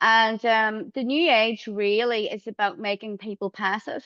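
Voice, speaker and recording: A woman's fairly high voice in an Irish accent, dry and close with no echo, over a quiet background. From Ireland. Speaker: astrologer. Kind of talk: interview answers.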